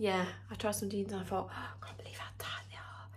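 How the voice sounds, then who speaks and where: A woman speaks over loud background noise. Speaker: home vlogger. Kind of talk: casual vlog chat. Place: home room. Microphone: phone near.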